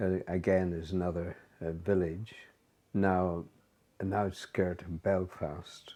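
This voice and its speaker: A man speaks in a very deep, low voice with a dark, mellow tone. His delivery is very slow and flat, broken by long, frequent pauses. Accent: Northern Irish. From Northern Ireland, County Down. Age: 90s, old. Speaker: interviewee recounting life story. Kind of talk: casual life-story interview. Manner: halting, many fillers.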